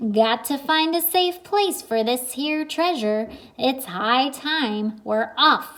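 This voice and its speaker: A woman uses a put-on character voice, high-pitched and loud. She talks very slowly over light background noise. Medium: read story. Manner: loud, blustery pirate talk.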